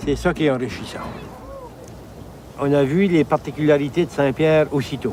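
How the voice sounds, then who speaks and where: A man speaks at a moderate pace with a fairly high pitch and fairly even intonation. Long, frequent pauses break his speech, and background noise is noticeable. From New Brunswick, Canada (Acadian, Moncton). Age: 70s. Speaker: tourist. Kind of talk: interview testimony.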